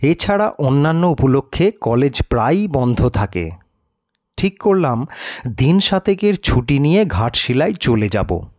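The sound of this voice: With big pitch swings and a slightly mellow tone, a man at a medium pitch speaks at a fairly slow pace.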